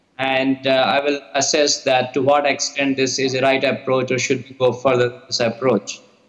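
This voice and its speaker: A man at a fairly slow pace against a quiet background. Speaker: remote presenter. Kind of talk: lecture. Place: hall. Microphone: video call.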